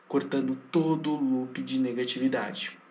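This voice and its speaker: Audible room echo and noticeable background noise accompany speech delivered at a moderate pace. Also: man. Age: 20s. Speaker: university student. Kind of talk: scripted narration.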